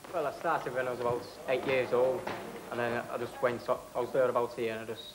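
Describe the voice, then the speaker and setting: Noticeable background noise accompanies a voice whose intonation is fairly even. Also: man. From northern England, St Helens, Lancashire. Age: 20s. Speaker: amateur boxer. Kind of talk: interview. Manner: halting. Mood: modest, hopeful. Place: home room.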